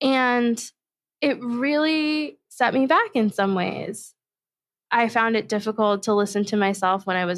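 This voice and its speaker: In a fairly slow pace, a woman speaks at a fairly high pitch with ordinary pitch variation, on a very clean recording with a silent background. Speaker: podcast host and diversity consultant. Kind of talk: solo podcast reflection.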